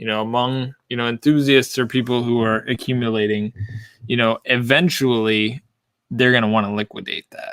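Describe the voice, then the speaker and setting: Delivered at a moderate pace, the speech has a dry, close sound with no echo. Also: man, medium pitch for a man, fairly even intonation. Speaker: whiskey collector. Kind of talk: casual chat. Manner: loud.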